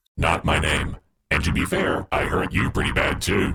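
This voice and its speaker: A man puts on a character voice with very deep, low pitch. The pace is moderate. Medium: audio drama. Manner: sarcastic, quick.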